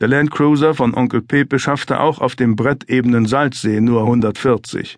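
A man speaks in a calm, serious tone at a medium pitch and a fairly slow pace. His pitch variation is ordinary, and the background is quiet. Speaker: audiobook narrator. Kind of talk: dramatic audiobook narration of a thriller, read aloud. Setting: studio. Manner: tense, suspenseful, measured pacing that builds to a chilling, controlled calm; gravely serious, vividly descriptive, with dramatic emphasis on short sentences.

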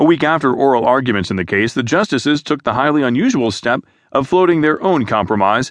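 A man has an ordinary speaking voice and lively intonation. He talks at a fairly quick pace against a quiet background. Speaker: news narrator. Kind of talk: formal news reading, scripted. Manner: formal, even-paced; measured, neutral, newsreader delivery.

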